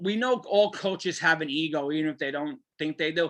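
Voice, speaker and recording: A man with a New York accent and fairly high pitch, bright and sharp in tone, at a moderate pace against a quiet background. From New Jersey (Garfield). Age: 50s. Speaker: sports podcast host. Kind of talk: casual chat.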